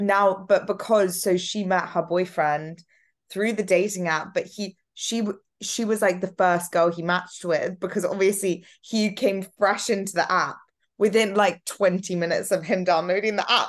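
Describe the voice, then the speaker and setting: The speaker has an unremarkable speaking voice and talks at a moderate pace. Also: woman. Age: 20s. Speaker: podcast host. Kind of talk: casual chat. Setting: video call.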